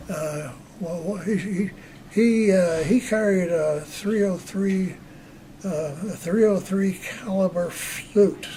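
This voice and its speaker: A man with a high voice speaks in a fairly even intonation, his loudness swinging widely, over noticeable background noise and audible room echo. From US Northeast, Long Island, New York. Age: 80s+. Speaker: war veteran. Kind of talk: interview. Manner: halting.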